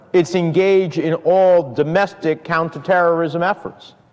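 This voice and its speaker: A man talks at a moderate pace, his pitch high. The background is quiet. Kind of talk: formal political speech. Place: hall.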